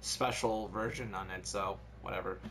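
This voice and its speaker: Noticeable noise sits behind a man who speaks at a medium speed. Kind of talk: casual gameplay commentary with friends.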